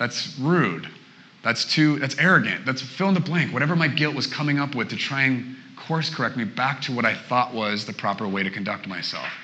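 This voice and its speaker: Someone with a West Coast accent talks fairly quickly with lively intonation, amid audible room echo and noticeable background noise. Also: man, medium pitch for a man. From Portland, Oregon. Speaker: guest preacher. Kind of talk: sermon.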